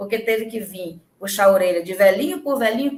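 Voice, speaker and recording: With a fairly high pitch, a woman talks at a moderate pace. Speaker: channeler. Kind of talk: livestream teaching. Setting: livestream. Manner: animated.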